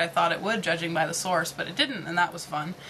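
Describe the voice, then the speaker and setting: A woman's fairly low-pitched voice over noticeable background noise. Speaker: vlogger; retail worker. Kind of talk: casual vlog monologue. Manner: fast; animated.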